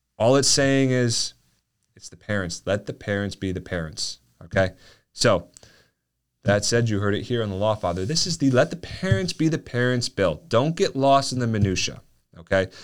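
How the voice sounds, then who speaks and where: A man with an unremarkable speaking voice, medium pitch, lively intonation and moderate pace, on a very clean recording with a silent background. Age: 30s. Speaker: lawyer and podcast host. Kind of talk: podcast monologue. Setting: studio. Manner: casual, many fillers.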